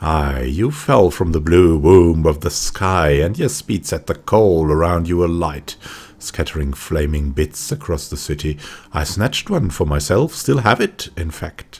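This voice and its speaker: Putting on a gruff character voice, a man speaks at a very deep, low pitch and a moderate pace. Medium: game stream. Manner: gruff, muttering, archaic phrasing.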